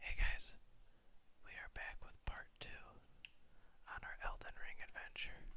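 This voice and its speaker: The speaker whispers in a soft-spoken way at a fairly slow pace. Long pauses come often. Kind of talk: soft-spoken gaming commentary. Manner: whispered.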